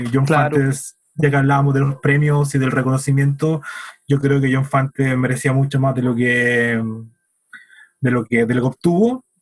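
Long, frequent pauses break up a man's somewhat breathy speech, which is monotone and flat in intonation and very even in loudness. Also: fairly high pitch for a man, moderate pace. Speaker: podcast co-host. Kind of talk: casual chat about books.

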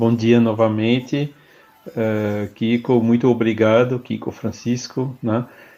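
Very slowly, a man speaks in a flat monotone at a medium pitch with a dark, mellow tone. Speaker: spiritist federation president. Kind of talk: casual discussion.

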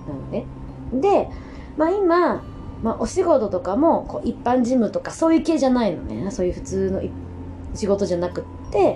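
A woman speaks with long, frequent pauses. Noticeable background noise runs underneath. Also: moderate pace. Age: 30s. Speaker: podcaster. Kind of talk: casual monologue. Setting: at home.

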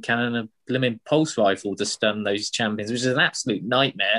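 At a fairly quick pace, a man speaks at a medium pitch with fairly even intonation in an ordinary speaking voice, the sound dry and close with no echo against a quiet background. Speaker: podcast co-host. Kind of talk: casual podcast chat about a video game.

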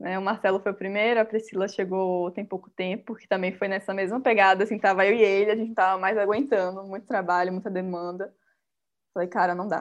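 Against a quiet background, a woman speaks fairly quickly with monotone, flat intonation and big swings in loudness. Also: medium pitch for a woman. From Bahia, Brazil (Salvador). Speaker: baker and small business owner. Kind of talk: interview, casual.

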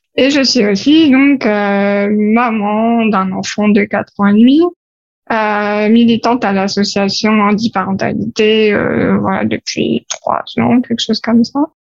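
Fairly slow speech from a woman, pitched fairly high, with ordinary pitch variation. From France, Paris. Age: 30s. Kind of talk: interview. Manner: hesitant with fillers.

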